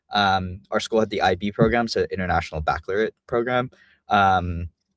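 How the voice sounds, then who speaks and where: A man with an American accent and an unremarkable speaking voice talks at a fairly quick pace in a fairly low pitch with ordinary pitch variation, in a very clean recording with a silent background and a dry, close sound with no echo. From Vietnam. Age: 20s. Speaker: immigration law firm founder. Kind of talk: interview podcast.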